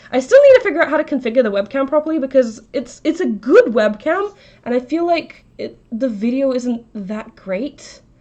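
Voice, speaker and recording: At a moderate pace, a woman speaks in a high pitch with lively intonation. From Russia. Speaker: craft streamer. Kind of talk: casual live-stream chat.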